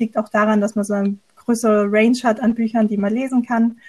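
A woman talks at a fairly quick clip in a fairly high pitch, her dark, mellow tone somewhat breathy and her intonation monotone and flat. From near Stuttgart, Swabia. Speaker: podcast co-host. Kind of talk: casual chat.

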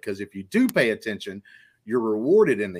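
An animated man with a Southern US accent, on a very clean recording against a silent background. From Alabama. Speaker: pop culture podcast host. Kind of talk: casual chat.

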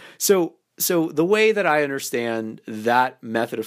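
A man with a fairly high voice has lively intonation. The recording is very clean, with a silent background. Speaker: dating coach podcast host. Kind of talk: solo podcast monologue.

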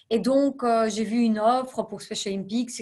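A woman with an ordinary speaking voice talks at a fairly slow pace, with a fairly high pitch and fairly even intonation. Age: 30s. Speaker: non-profit executive. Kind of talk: interview.

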